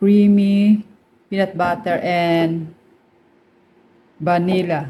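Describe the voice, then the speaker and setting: In a Filipino accent, a woman speaks very slowly in a somewhat breathy, dark, mellow tone, at a fairly low pitch with monotone, flat intonation. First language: Tagalog. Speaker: cooking vlogger. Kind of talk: cooking tutorial. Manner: casual.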